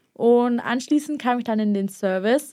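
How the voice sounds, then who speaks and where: A woman talks at a fairly slow pace in a high pitch, with ordinary pitch variation. The recording is very clean, with a silent background. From Bavarian Swabia, southern Germany. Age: young. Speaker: apprentice industrial clerk. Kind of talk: interview.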